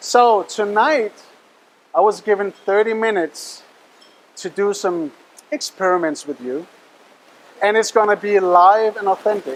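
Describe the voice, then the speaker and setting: A man with a Danish accent and a high pitch, at a moderate pace, over noticeable background noise. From Denmark. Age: young. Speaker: mentalist and hypnotist. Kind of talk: stage show patter. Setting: stage with audience. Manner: animated.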